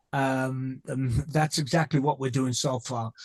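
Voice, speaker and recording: A slight British accent at a fairly slow pace, with a dry, close sound and no echo. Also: man. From England. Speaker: company co-founder. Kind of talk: interview. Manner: halting, many fillers and repeats.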